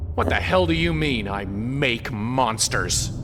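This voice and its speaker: A man's put-on character voice, fairly low and fairly slow, against loud background noise. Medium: video game.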